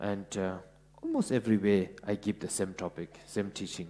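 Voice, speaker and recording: A dark, mellow tone with a Ladakh accent. The pace is fairly slow. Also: man. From Ladakh, India. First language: Ladakhi. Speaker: Buddhist teacher. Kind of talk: dharma talk. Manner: halting, many fillers.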